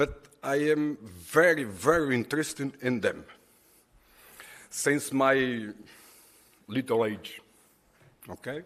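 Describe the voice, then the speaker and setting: A man with a Portuguese accent at a very slow pace. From Portugal. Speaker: conference presenter. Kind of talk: conference presentation. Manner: halting.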